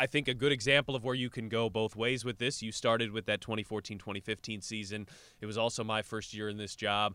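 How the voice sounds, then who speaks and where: A man with a medium pitch talks at a very fast pace in a bright, sharp tone and fairly even intonation. The recording is very clean with a silent background and a dry, close sound with no echo. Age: 30s. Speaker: basketball podcast host. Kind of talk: casual chat. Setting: studio.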